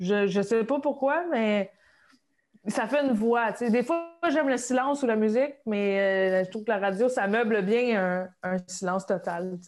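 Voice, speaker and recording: Speaking in a Quebec accent, a woman uses a fairly high pitch with ordinary variation at a fairly slow pace. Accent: Québécois French. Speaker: comedian. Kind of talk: casual chat.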